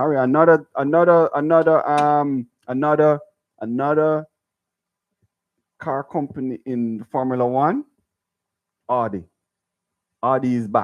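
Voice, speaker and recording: Long, frequent pauses break up this man's fairly slow delivery. His pitch is fairly high and his intonation fairly even. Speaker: sports radio co-host. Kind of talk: casual sports talk. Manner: halting, many repeated words.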